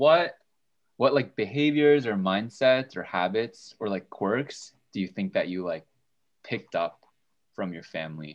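A man with an unremarkable speaking voice talks at a moderate pace and a fairly low pitch. His intonation is lively, and the background is quiet. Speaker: student podcast co-host. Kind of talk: casual chat.

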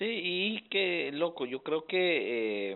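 This man speaks at a fairly high pitch. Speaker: podcast host. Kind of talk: interview.

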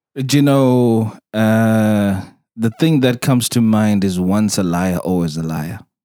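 At a fairly slow pace, a man talks in a fairly low pitch with ordinary pitch variation. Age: 40s. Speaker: podcast host. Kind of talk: casual chat. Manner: laughs a lot.

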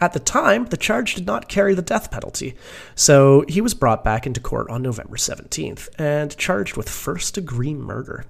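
Vocal fry runs through a man's fairly high voice as it makes very wide pitch swings at a moderate pace. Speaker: podcast co-host. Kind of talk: casual chat.

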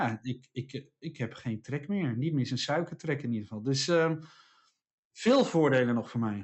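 Using an unremarkable speaking voice, a man talks with ordinary pitch variation. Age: 40s. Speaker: podcast co-host, speaker and author. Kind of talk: casual chat.

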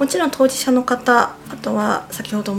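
A woman is speaking. Noticeable background noise runs through the clip. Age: 30s. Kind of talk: radio interview. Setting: studio.

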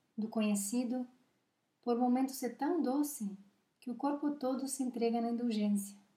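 Speaking with a high pitch and a dark, mellow tone, a woman keeps a fairly even intonation and leaves long, frequent pauses. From Uruguay. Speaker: psychologist and podcast host. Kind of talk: reading aloud own reflective text.

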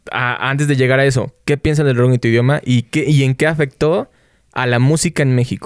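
At a fairly quick pace, a man with a plain, everyday voice speaks with fairly even intonation and very even loudness, the sound dry and close with no echo. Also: medium pitch for a man. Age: 20s. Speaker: podcast host. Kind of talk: casual chat.

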